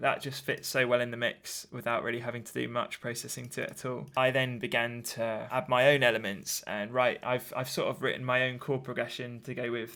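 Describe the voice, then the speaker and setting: A man's medium-pitched, bright, sharp voice with an English accent, fairly quick and nearly pause-free, in a monotone, flat delivery. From southern England, Brighton. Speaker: music producer. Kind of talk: tutorial. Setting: home studio. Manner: casual, hesitant with fillers.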